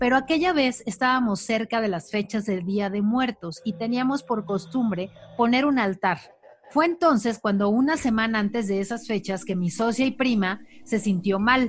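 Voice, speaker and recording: Speaking at a moderate pace in a normal speaking voice, the woman has a fairly high pitch and ordinary pitch variation. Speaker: podcast co-host. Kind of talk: casual chat.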